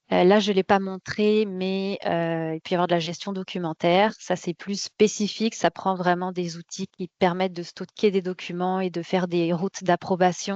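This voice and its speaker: Dry and close with no echo, a woman speaks in a monotone, flat intonation with hardly any pauses. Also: medium pitch for a woman, moderate pace. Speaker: quality management software consultant presenting a webinar. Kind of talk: webinar presentation. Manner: hesitant, many fillers and repetitions.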